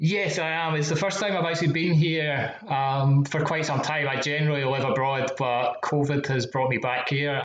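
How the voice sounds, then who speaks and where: With a Scottish accent, a man talks at a moderate pace and a fairly high pitch, with hardly any pauses. His intonation is fairly even, and there is noticeable background noise. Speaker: matched betting website founder. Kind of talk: interview podcast.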